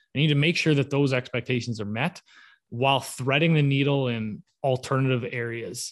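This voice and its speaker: A man with a Canadian accent and a normal speaking voice, medium in pitch, at a moderate pace with fairly even intonation. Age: 30s. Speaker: home builder. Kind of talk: casual interview.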